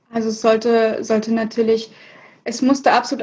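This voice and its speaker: Speaking in an unremarkable speaking voice, a woman talks at a fairly high pitch and moderate pace against a quiet background. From Hannover, northern Germany. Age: 20s. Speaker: fashion label founder. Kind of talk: interview.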